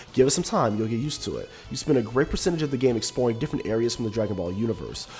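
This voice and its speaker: With music in the background, a man talks at a very fast pace in a medium pitch with ordinary pitch variation. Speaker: video game reviewer. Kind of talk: game review narration.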